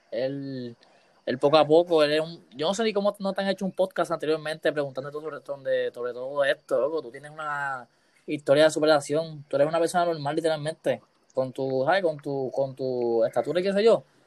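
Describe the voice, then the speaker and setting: With an ordinary speaking voice, a man at a fairly high pitch moves at a fairly quick pace with ordinary pitch variation, recorded dry and close with no echo. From Puerto Rico, Aguas Buenas. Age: 20s. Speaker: podcast host. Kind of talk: casual interview.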